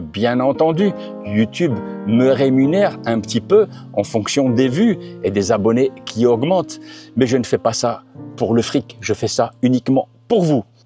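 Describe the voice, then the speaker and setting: A man with a medium pitch and lively intonation speaks at a fairly slow pace over background music. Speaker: car reviewer YouTuber. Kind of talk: casual talk to camera.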